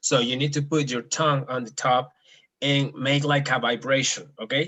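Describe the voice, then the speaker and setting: With a Spanish accent, a man is talking. His voice has a medium pitch. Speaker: Spanish teacher. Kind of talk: language lesson. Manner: slow, clear enunciation.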